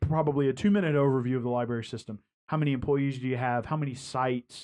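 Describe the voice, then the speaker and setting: The man's pitch is fairly high. He talks at a fairly quick pace. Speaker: newspaper publisher and podcast host. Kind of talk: interview podcast. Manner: fast.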